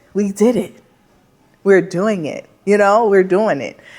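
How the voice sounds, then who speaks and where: Speaking in an animated tone, the woman has a medium pitch. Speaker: plant shop owner, vlogger. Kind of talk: vlog talking to camera.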